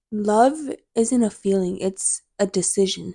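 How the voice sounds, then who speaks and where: Soft-spoken, a woman with a dark, mellow tone and medium pitch sounds dry and close, with no echo. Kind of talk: casual chat.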